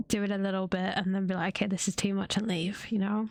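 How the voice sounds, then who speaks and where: Her medium-pitched voice holds a fairly even intonation as the woman speaks. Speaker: VTuber streamer. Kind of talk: casual vlog talk. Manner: normal speaking voice, not ASMR.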